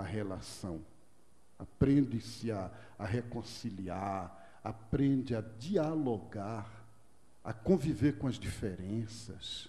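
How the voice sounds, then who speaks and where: A man with a dark, mellow tone and a somewhat breathy voice uses lively intonation in a room with audible echo. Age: 60s. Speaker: monk and speaker on culture of peace. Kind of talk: lecture. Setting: stage with audience. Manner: conversational.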